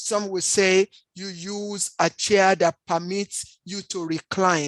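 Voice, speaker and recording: In a dry, close recording with no echo, a woman at medium pitch talks very slowly in a flat monotone, her loudness swinging widely. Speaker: health presenter. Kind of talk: presentation. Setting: standing while presenting.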